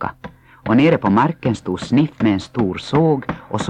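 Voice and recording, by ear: Lively intonation in a natural voice reading text aloud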